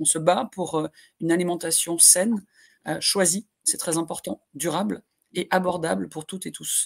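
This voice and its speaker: A woman's fairly low voice with vocal fry, ordinary pitch variation and a moderate pace, dry and close with no echo. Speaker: NGO director. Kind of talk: panel discussion. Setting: video call. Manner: passionate, emphatic.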